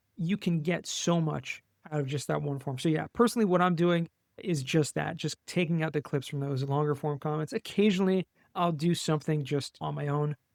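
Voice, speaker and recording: With an American accent, a man in an unremarkable speaking voice talks at a fairly quick pace, fairly high in pitch with ordinary pitch variation, in a very clean recording with a silent background and a dry, close sound with no echo. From US West Coast, Los Angeles. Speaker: tax savings specialist, podcast guest. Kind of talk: interview.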